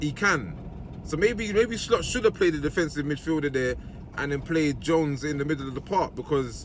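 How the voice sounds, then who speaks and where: A man with lively intonation speaks at a fairly quick pace against noticeable background noise. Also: fairly high pitch for a man. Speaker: football fan youtuber. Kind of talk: match reaction vlog. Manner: casual, conversational; fast.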